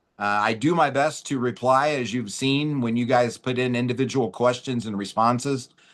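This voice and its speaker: With a normal speaking voice, a man talks at a medium pitch and fairly even intonation. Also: quiet background. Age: 50s. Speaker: webinar host. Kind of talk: casual chat.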